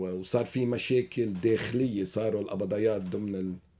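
A man's fairly low, dark, mellow voice at a moderate pace with fairly even intonation. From Lebanon, Beirut (Achrafieh); Lebanon. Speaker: Lebanese diaspora community leader; guest. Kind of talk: radio interview. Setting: studio. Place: studio. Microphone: studio mic.

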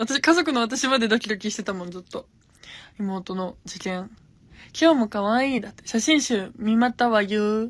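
A woman speaks at a moderate pace with an animated tone, ordinary pitch variation and big swings in loudness, in a dry recording with no echo. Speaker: gravure idol livestreamer; streamer chatting with viewers. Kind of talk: casual livestream chat. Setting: Instagram live. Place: home room. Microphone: phone near.

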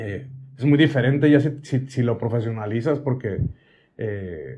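At a fairly slow pace, a man speaks at medium pitch with a somewhat breathy voice. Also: ordinary pitch variation. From Hermosillo, Sonora, Mexico; Sonora, Mexico. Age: 40s. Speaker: singer and social media creator; social media creator. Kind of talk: casual interview chat. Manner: brusque, forceful delivery often taken as angry. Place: home room.

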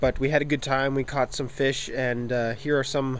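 Light background noise sits behind a man's dry voice with no echo. His intonation is monotone and flat. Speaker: vlogger. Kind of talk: casual vlog chat. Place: street. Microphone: phone near.

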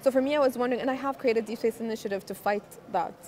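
Noticeable background noise accompanies a woman who speaks very fast. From Egypt. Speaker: astronaut and nonprofit founder. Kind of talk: interview. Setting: conference event. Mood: reflective, earnest. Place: hall. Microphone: lapel.

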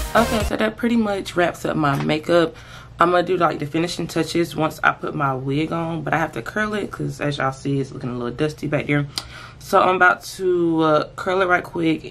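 Music plays behind a woman whose very deep, low voice moves at a fairly quick pace. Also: ordinary pitch variation. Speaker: beauty vlogger. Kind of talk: casual vlog chat. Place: home room. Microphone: phone near.

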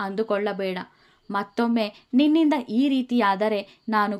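The pitch moves with ordinary variation. The delivery is plain reading aloud.

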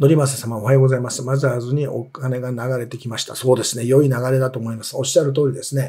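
Against a quiet background, a man talks at a very fast pace with hardly any pauses, somewhat breathy and dark, mellow in tone, his intonation monotone and flat but his loudness in big swings. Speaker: investment commentator, former securities executive. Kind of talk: market commentary, live stream. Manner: explanatory, many fillers. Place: office.

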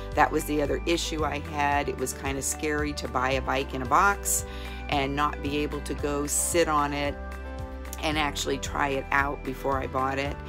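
Clear music plays in the background as a woman speaks at a moderate pace. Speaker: customer giving product review. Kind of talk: testimonial interview answer. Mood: warm, enthusiastic. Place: home room. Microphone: phone near.

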